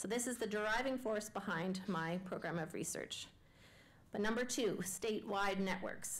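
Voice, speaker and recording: The recording has audible room echo. A woman speaks at a moderate pace with ordinary pitch variation. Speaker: education researcher. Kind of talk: public lecture.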